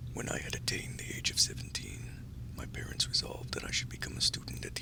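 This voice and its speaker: Whispering comes very fast over noticeable background noise. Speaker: audiobook narrator. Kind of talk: sleep story. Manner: soft-spoken, creepy.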